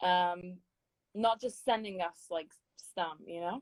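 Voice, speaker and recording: A woman speaks at a fairly slow pace with ordinary pitch variation. The sound is dry and close, with no echo. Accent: British. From London, England. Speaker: singer and choir director. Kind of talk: interview. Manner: hesitant, many fillers.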